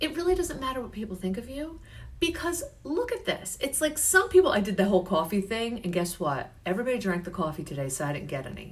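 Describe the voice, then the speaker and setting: Loud and animated, a woman speaks very fast in a fairly high voice with very wide pitch swings and vocal fry. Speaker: health and life coach. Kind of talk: live stream coaching talk. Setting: Facebook live stream.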